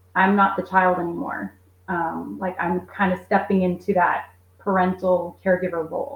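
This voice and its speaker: At a moderate pace, a woman speaks in a medium pitch with vocal fry and monotone, flat intonation. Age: 40s. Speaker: caregiver and homeschool mom. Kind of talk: interview.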